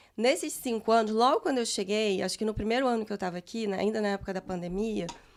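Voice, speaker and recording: This woman speaks at a very fast pace with a fairly high pitch. Her pitch variation is ordinary. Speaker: guest on immigration podcast. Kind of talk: casual chat.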